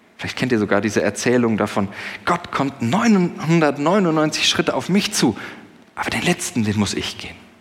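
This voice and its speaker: A man talks at a moderate pace in a fairly high voice. His pitch swings very widely, with noticeable noise in the background. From Germany, Sauerland. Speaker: pastor. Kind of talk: sermon. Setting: church service with congregation. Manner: conversational, with fillers.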